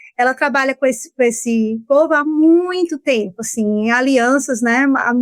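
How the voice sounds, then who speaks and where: A woman talks in a high pitch with a strong Ceará accent, leaving hardly any pauses. The sound is dry and close, with no echo. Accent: Ceará Brazilian accent, keeps it strongly. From Brazil, Ceará. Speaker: law professor. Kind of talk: podcast interview.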